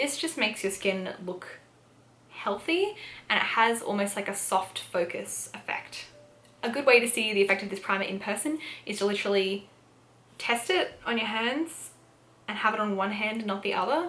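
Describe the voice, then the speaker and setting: A woman in an Australian accent, lively intonation, long and frequent pauses, and noticeable background noise. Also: fairly high pitch for a woman, moderate pace. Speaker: beauty youtuber. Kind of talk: product review. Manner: casual, filler-heavy.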